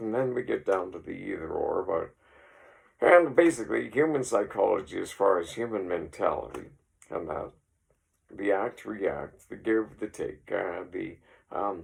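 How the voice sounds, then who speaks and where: A man with a Canadian Prairie accent at a moderate pace. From Saskatchewan, Canada. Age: 60s. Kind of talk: casual rambling talk to camera. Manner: hesitant, many fillers.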